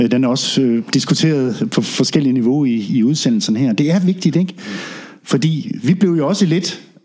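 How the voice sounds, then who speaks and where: A man with an ordinary speaking voice talks at a moderate pace. His pitch is fairly high and his intonation lively. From Denmark, Funen (Ringe, Midtfyn). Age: 50s. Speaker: reggae sound system DJ and drummer. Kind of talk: casual interview. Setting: in-person visit at guests' place.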